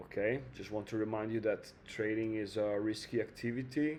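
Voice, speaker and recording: A man's fairly low-pitched voice with a dark, mellow tone and an Italian accent, at a fairly slow pace with ordinary pitch variation. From Italy. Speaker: trading video creator. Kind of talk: casual trading tutorial. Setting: home, air conditioning on. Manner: hesitant, many fillers.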